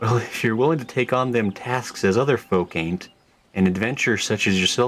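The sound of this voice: Ordinary pitch variation in an unforced voice reading aloud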